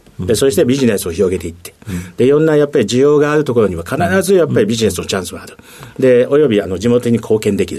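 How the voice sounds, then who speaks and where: A man at medium pitch, very fast, with very wide pitch swings, big swings in loudness and noticeable background noise. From Tokyo, Japan. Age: 60s. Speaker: company president. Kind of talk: interview. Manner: many fillers, halting.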